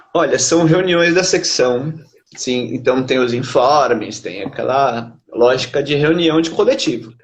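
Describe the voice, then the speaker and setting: A man with a fairly high pitch talks at a fairly slow pace in a normal speaking voice, his pitch varying in an ordinary way. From Brazil, São Paulo. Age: 30s. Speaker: poet and literature researcher. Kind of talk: interview.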